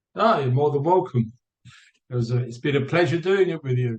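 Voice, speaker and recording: In a British accent, a man speaks at a fairly high pitch, his voice somewhat breathy, with ordinary pitch variation. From England, Barnet, north London. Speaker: theater actor, company founder. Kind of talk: casual interview.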